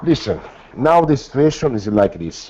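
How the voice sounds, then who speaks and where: Over noticeable background noise, a man with an Italian accent speaks at a moderate pace and a fairly high pitch. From Italy. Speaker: filmmaker and author. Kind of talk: interview. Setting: call. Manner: halting; animated.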